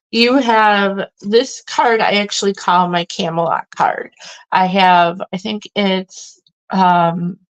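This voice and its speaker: A woman talks at a very slow pace. Her medium pitch shows ordinary variation, and the sound is dry and close with no echo. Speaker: tarot reader. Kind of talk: tarot reading. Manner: hesitant, many fillers.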